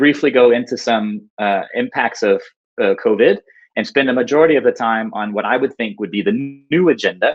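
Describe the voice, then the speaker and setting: In a plain, everyday voice, a man with an American accent speaks at a medium pitch and a fairly quick pace, with ordinary pitch variation. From United States. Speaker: urban designer and engineer. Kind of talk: conference talk. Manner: frequent filler words (uh, um).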